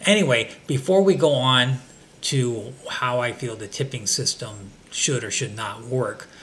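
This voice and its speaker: Noticeable background noise sits behind a man's voice. He talks at a fairly slow pace with lively intonation. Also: medium pitch for a man. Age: 60s. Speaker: vlogger. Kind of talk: casual monologue. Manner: hesitant, many fillers.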